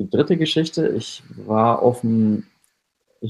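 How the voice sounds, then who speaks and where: With lively intonation, a man at a medium pitch talks at a fairly slow pace. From Lower Franconia, Germany (Schweinfurt area). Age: 20s. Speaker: artist. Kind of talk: interview. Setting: remote call with headset. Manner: hesitant, many fillers.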